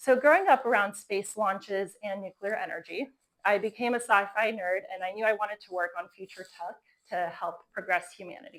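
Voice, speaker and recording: A woman with an American accent talks in a normal speaking voice at a fairly quick pace, her medium pitch showing ordinary variation while her loudness swings widely. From Florida, US. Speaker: company co-founder giving a talk. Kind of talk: conference talk.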